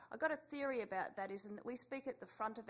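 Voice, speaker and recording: Speaking with an Australian accent, a woman shows ordinary pitch variation. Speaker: education researcher and policy director. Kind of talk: conference panel talk. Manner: halting, many fillers.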